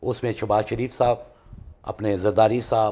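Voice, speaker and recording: Vocal fry runs through this man's voice. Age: 60s. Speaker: political party worker. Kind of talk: TV political talk show debate. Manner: animated.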